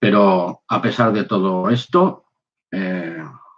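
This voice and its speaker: The man speaks with a fairly low pitch. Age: 60s. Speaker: former soldier, lay preacher. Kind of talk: personal testimony.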